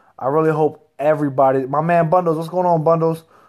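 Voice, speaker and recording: Over a quiet background, a man speaks very fast in an animated tone, his pitch fairly high. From Reading, Pennsylvania; Pennsylvania. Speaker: professional heavyweight boxer. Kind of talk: casual chat. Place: home room. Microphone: phone near.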